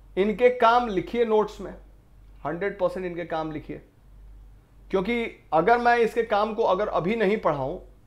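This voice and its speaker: A man speaks at a fairly slow pace with long, frequent pauses. His pitch is high, with ordinary variation. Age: 30s. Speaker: online exam-prep teacher. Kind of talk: lecture.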